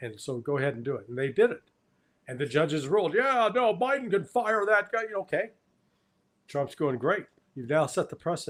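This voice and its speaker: At a moderate pace, a man speaks with a high pitch that swings very widely. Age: 70s. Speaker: geopolitical commentator. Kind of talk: interview discussion. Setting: live online stream. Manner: halting.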